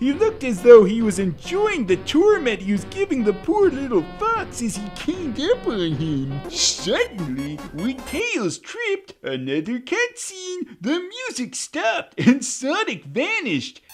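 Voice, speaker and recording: A put-on character voice with a fairly high pitch at a fairly slow pace over clear music in the background. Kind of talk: comedic creepypasta reading with commentary. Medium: read story. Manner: dry, sarcastic.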